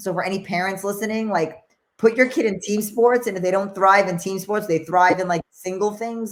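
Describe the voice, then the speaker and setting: Talking at a moderate pace, a woman of medium pitch speaks with a New York accent. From New York, the Bronx. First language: Spanish. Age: 40s. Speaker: former boxing champion. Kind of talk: interview.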